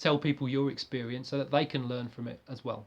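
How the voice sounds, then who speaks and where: A man with a fairly high pitch. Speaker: fitness vlogger. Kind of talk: product review. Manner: hesitant, many fillers.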